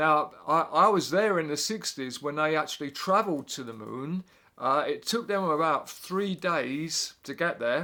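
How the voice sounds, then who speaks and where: Speaking at a fairly slow pace, a man with an English accent has a fairly high pitch and a bright, sharp tone in a very clean recording with a silent background. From England. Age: 60s. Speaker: drummer and music teacher. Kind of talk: casual explainer monologue. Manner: halting, many fillers.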